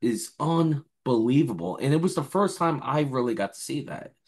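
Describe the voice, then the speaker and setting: A man with vocal fry speaks at a fairly slow pace against a quiet background. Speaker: remote guest. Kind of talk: casual interview chat. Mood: enthusiastic, proud. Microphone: video call.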